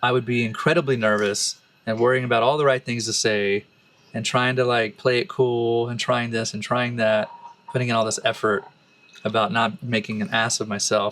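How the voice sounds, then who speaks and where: The speaker has a Texan accent. The pace is fairly quick. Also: man. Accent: Texan American English. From Texas, Austin. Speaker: musician and relationship podcast co-host. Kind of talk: casual chat. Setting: bathtub in a forest retreat.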